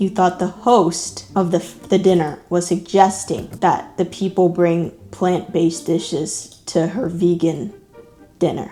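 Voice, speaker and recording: Over music in the background, a woman with an American accent talks at a very slow pace. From Texas, USA. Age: 20s. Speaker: YouTuber. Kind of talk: reading online posts aloud with commentary.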